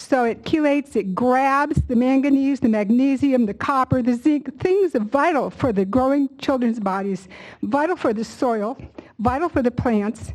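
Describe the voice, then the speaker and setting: Here a woman talks in a high voice. Her pitch variation is ordinary. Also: moderate pace. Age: 70s. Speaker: public commenter. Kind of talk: public hearing testimony. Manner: impassioned.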